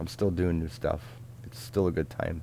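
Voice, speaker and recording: Speaking at a very fast pace, a man with a Midwestern US accent uses a very deep, low pitch and ordinary pitch variation. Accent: US Midwest. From US Midwest, Richmond, Indiana. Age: 40s. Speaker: DJ. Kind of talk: live Q&A stream. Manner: casual, halting.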